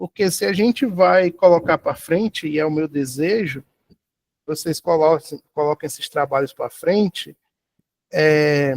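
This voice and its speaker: Recorded dry and close with no echo, a man uses a plain, everyday voice, fairly high in pitch with ordinary pitch variation, at a fairly slow pace. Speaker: university lecturer. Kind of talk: lecture.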